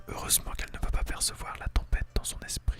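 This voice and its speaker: Whispering over noticeable background noise. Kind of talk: ASMR story reading. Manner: whispered.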